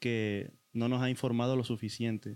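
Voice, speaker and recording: At a moderate pace, a man of medium pitch talks in a monotone, flat intonation, recorded dry and close with no echo. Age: 20s. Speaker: guest sharing experience of depression. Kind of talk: testimony. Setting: in-person studio recording.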